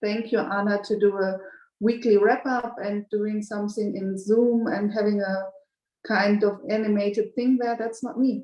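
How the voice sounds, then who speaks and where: With a German accent, a woman speaks at a moderate pace in a fairly high pitch, her intonation monotone and flat and her tone dark and mellow. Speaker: banker and community member. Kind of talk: group video call discussion. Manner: halting, with repeated words.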